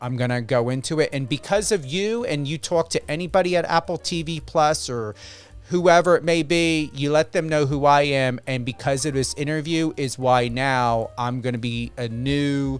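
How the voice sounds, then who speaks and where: A man with an American accent talks in a fairly high pitch. His pitch variation is ordinary, and music plays in the background. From New Jersey. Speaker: radio host. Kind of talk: interview.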